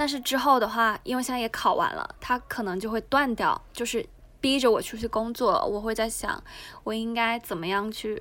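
The voice moves at a moderate pace, with ordinary pitch variation. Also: woman, fairly high pitch for a woman. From Guangdong, China. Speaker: unemployed former copywriter. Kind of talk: casual chat.

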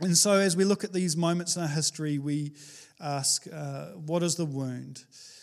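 A man with a New Zealand accent talks at a moderate pace, fairly high in pitch for a man and with fairly even intonation. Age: 30s. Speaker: pastor. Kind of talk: sermon. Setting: church.

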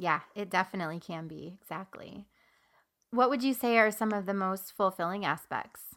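A woman talks in a normal speaking voice at medium pitch. Her pace is moderate, with ordinary pitch variation. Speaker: podcast host. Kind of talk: interview chat.

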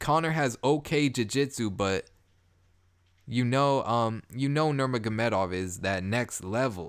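Speaking at a fairly slow pace, a man has a plain, everyday voice at medium pitch with ordinary pitch variation, on a very clean recording with a silent background. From Canada, Toronto. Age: 20s. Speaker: podcast host. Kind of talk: casual monologue.

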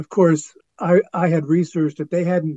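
This man has an ordinary speaking voice. He talks at a moderate pace with fairly even intonation. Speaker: actor and writer. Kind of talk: casual chat. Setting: video call.

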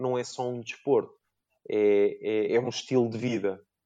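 This man's tone is dark and mellow. He talks at a very slow pace. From Portugal, Lisbon area (Cascais line). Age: 30s. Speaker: financial consultant and amateur rock climber. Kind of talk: interview. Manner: hesitant, frequent repetitions.

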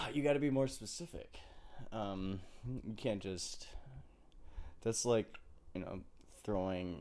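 A man with a dark, mellow tone speaks at a very slow pace, leaving long, frequent pauses, while his intonation stays lively. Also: fairly low pitch for a man. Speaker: podcast guest.

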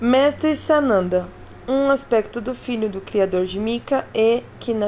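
Over noticeable background noise, a woman speaks in a calm tone at a fairly slow pace with ordinary pitch variation. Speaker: podcast host reading an article aloud. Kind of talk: audiobook narration, reading an article aloud. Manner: even, calm, explanatory, formal-sounding reading pace; friendly and chatty when addressing listeners.

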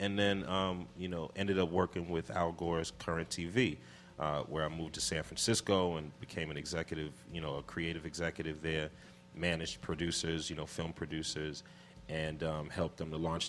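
A man with a New York accent talks at a fairly quick pace. His pitch is very deep and low, and his intonation fairly even. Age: 40s. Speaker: hip hop producer and executive. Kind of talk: casual interview. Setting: radio studio.

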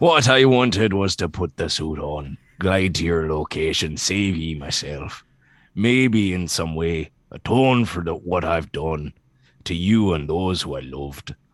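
Against a quiet background, a man with a very deep, low voice speaks fairly slowly and with lively intonation. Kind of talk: comic dramatic reading. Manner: regretful, gruff.

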